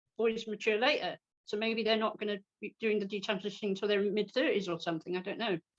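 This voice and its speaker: Recorded in a dry, close sound with no echo, a woman speaks with a British accent. She is fairly high-pitched and talks at a fairly quick pace. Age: 60s. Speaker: political cartoonist. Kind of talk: interview. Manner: hesitant, repeats words.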